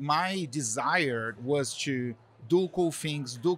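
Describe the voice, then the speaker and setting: With a Brazilian accent, a man is talking. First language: Portuguese. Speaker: marketing executive. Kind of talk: interview. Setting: live event. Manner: hesitant, many fillers.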